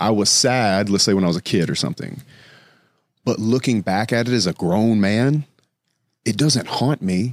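In a Southern US accent, a man with a fairly low pitch speaks at a moderate pace with long, frequent pauses and very even loudness, on a very clean recording with a silent background and a dry, close sound with no echo. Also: ordinary pitch variation. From US South. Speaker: construction entrepreneur. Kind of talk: casual chat.

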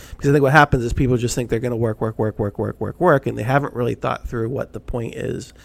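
At a very fast pace with hardly any pauses, a man talks at a medium pitch with vocal fry, the sound dry and close with no echo. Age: 40s. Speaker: business podcast co-host. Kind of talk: casual chat. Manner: animated.

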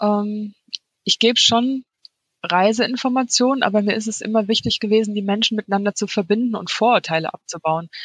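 In a plain, everyday voice, a woman speaks fairly quickly at a fairly high pitch with fairly even intonation, the sound dry and close with no echo. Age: 40s. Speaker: freelance copywriter and blogger. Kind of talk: interview.

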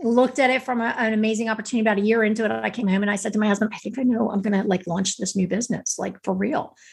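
Somewhat breathy, a woman talks at a very fast pace and fairly high pitch, with fairly even intonation and hardly any pauses. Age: 50s. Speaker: author and speaker. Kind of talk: casual interview chat.

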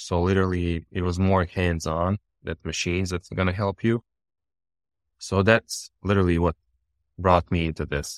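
At a moderate pace, a man with a Bosnian accent speaks in a very deep, low pitch with fairly even intonation and long, frequent pauses. The sound is dry and close with no echo, and the background is quiet. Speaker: contract millwork engineer. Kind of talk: casual interview conversation. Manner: apologizes for his English, conversational.

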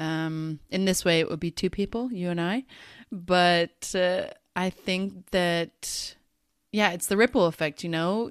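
Speaking at a fairly slow pace with ordinary pitch variation, a woman with a fairly low pitch and an American accent has a plain, everyday voice, recorded very cleanly against a silent background with a dry, close sound and no echo. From United States. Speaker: podcast co-host. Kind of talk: casual chat.

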